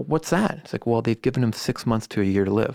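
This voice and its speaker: This man has a normal speaking voice, medium pitch and ordinary pitch variation, speaking with an American accent on a very clean recording with a silent background. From US West Coast, Silicon Valley. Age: 40s. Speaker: band manager. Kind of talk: casual interview.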